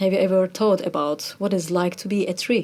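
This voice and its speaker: A woman speaks with a Turkish accent. Her pitch is medium. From Turkey. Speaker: musician, kamancha player. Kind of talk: interview conversation.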